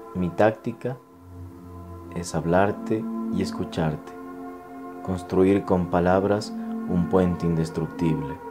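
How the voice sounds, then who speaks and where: Music plays in the background behind a man. He speaks at a very slow pace with a very deep, low pitch. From Ecuador. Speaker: poetry reciter. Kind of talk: poetry reading.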